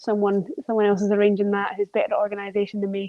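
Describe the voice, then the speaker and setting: A woman is speaking. She has a Scottish accent. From Scotland. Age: 30s. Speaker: wheelchair basketball player. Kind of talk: podcast interview.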